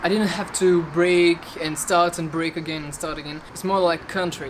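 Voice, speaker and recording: A woman with a fairly low voice talks at a moderate pace amid noticeable background noise. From Belgium. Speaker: electric skateboard vlogger. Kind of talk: casual vlog. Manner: halting.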